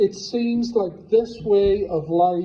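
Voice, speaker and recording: A man speaks with an Irish accent. Room echo is audible. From Ireland. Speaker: preacher. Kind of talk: sermon.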